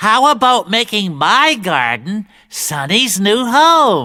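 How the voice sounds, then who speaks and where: A put-on character voice with a fairly high pitch and very wide pitch swings. It moves at a very slow pace. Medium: stage play. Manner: gentle, patient.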